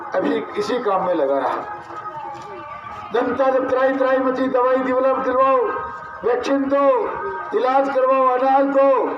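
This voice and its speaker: Extremely high in pitch, a man speaks in an animated tone with ordinary pitch variation, very even loudness, and long, frequent pauses, amid audible room echo and noticeable background noise. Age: 60s. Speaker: politician. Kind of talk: political rally speech. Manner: animated, rhetorical.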